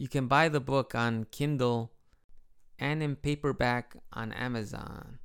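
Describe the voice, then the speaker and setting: Fairly even intonation at a fairly slow pace. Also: man, medium pitch for a man. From Chicago, US Midwest. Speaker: podcast host and English teacher living in Japan. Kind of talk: casual solo podcast monologue. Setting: home, with baby nearby.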